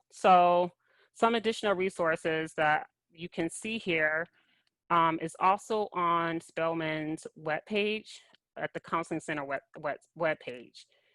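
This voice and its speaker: A woman speaks at a fairly slow pace in an ordinary speaking voice, her pitch fairly low with ordinary variation. The recording is very clean and dry, close with no echo, over a silent background. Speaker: college counselor. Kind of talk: workshop presentation.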